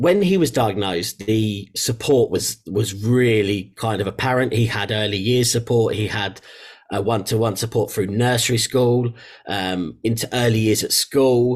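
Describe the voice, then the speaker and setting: The speaker has an English accent. The pace is moderate, with ordinary pitch variation. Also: man, medium pitch for a man. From England. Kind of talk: interview. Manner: halting, with fillers and repetitions.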